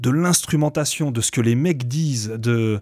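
An ordinary speaking voice at a fairly slow pace with ordinary pitch variation, on a very clean recording with a silent background. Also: man. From France, Seine-et-Marne (Coulommiers). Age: 40s. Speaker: rapper and beatmaker. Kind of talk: casual interview.

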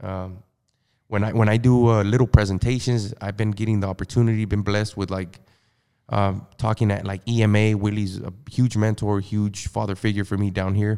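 A man's dark, mellow voice at fairly low pitch, monotone and flat, at a moderate pace, on a very clean recording with a silent background. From California, US. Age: 30s. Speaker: mortgage loan officer. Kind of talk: casual podcast interview. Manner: casual, hesitant, repeats words.

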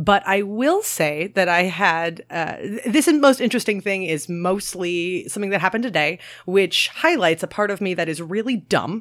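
A woman with an American accent has an ordinary speaking voice at a medium pitch and lively intonation. She keeps a moderate pace with hardly any pauses. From Maryland. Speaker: podcast host. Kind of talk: casual chat.

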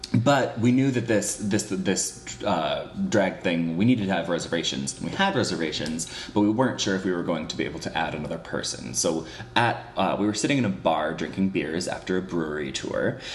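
Against noticeable background noise, a man talks at a moderate pace. His very deep, low voice has lively intonation. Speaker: podcast co-host.

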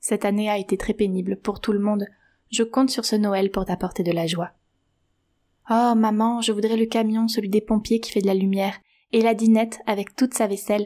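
Her tone dark and mellow yet gentle and warm, a woman with a fairly high pitch speaks at a moderate pace in monotone, flat intonation, leaving long, frequent pauses in a very clean recording with a silent background.

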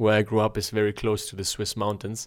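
In a very clean recording with a silent background, a man with an unremarkable speaking voice talks at a moderate pace and medium pitch. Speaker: podcast host. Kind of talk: casual banter Q&A with spouse. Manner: joking, playful.

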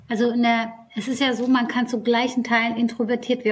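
Over noticeable background noise, a woman speaks at a moderate pace and fairly high pitch. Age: 30s. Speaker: HR executive. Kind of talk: interview.

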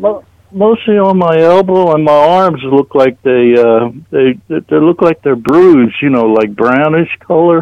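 An ordinary speaking voice with lively intonation, a fairly slow pace, hardly any pauses and very even loudness. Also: man, fairly high pitch for a man. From New Jersey, US. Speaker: caller. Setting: phone call.

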